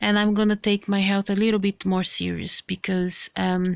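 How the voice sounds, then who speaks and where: A woman with a non-native accent talks at a moderate pace in a medium pitch. The recording is very clean, with a silent background and a dry, close sound with no echo. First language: not English. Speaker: health vlogger. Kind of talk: casual vlog with reading aloud. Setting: handheld camera. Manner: halting.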